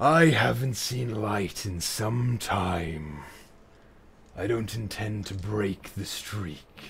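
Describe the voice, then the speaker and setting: A man speaks in a put-on character voice, pitched fairly low. He talks at a very slow pace. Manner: gruff, curt.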